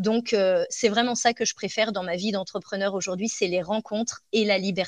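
Monotone, flat intonation from a woman at medium pitch, delivered at a moderate pace. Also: hardly any pauses. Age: 30s. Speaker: dog trainer and business coach. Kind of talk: interview.

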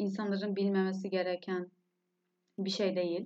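A woman's voice has a dark, mellow tone. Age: 20s. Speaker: podcast host, university student. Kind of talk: solo podcast monologue. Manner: emotional.

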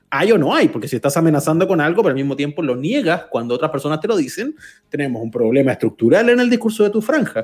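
A man with a Chilean accent and very wide pitch swings. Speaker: podcast co-host. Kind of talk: casual chat.

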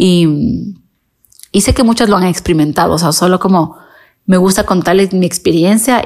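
At medium pitch and a moderate pace, a woman talks in a plain, everyday voice. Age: 30s. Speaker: makeup artist and podcast host. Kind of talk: casual monologue.

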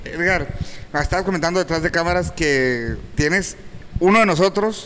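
Over noticeable background noise, a man talks at a fairly slow pace in a high pitch with ordinary pitch variation. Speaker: talk show co-host. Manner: casual, slangy.

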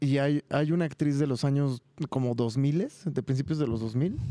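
The speaker is a man with a fairly high pitch. His tone is dark and mellow. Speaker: podcast co-host. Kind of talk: casual chat.

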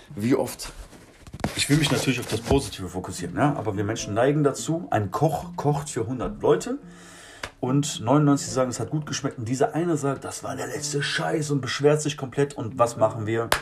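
A man's fairly high voice with lively intonation at a moderate pace, music in the background. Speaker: street musician. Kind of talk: casual monologue. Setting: garden shed. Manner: animated.

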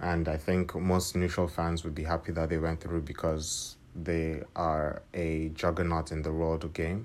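At a moderate pace, a man with a very deep, low pitch speaks in a monotone, with flat intonation. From Nigeria. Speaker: football podcast host. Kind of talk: solo commentary podcast. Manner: hesitant with fillers.

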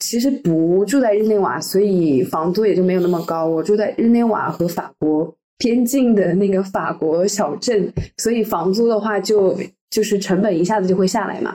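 At a moderate pace, a dark, mellow tone carries ordinary pitch variation. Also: woman, medium pitch for a woman. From China. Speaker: UN library events intern. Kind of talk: casual chat. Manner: repetitive, stammering.

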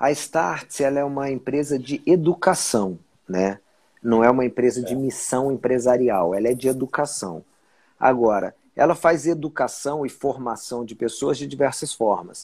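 A man talks in a plain, everyday voice at a medium pitch and a moderate pace. His pitch varies in an ordinary way. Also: very clean recording, silent background. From Brasília, Brazil. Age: 40s. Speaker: journalist turned entrepreneur. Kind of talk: casual interview on a livestream.

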